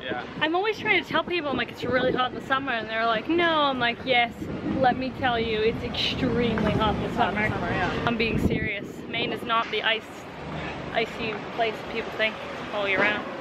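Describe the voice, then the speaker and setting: Moderate pace over loud background noise. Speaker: family vlogger. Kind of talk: casual vlog chat. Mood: hot, slightly weary, chatty. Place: street. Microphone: phone near.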